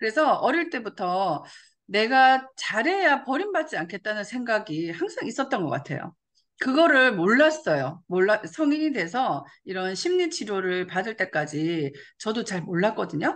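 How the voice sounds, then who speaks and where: Fairly high female speech, fairly slow, its pitch swinging very widely. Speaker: network marketing leader. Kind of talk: motivational talk. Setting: video call.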